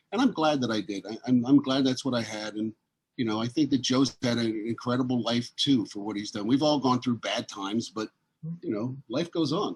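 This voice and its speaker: A normal speaking voice, fairly quick, its pitch varying in an ordinary way. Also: man, medium pitch for a man. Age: 60s. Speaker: entertainer. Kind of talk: casual chat. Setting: video call.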